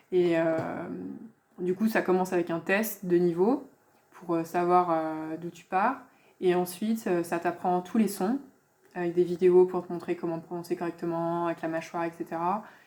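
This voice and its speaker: Speech moves fairly slowly and the intonation stays fairly even. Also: woman, fairly low pitch for a woman. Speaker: language teacher / youtuber. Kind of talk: casual tutorial / app review. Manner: hesitant, many filler sounds (euh).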